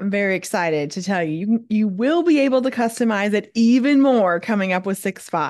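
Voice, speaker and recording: A woman with a normal speaking voice talks at a fairly quick pace with hardly any pauses, medium pitch and lively intonation over a quiet background. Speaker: podcast co-host. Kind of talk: casual chat.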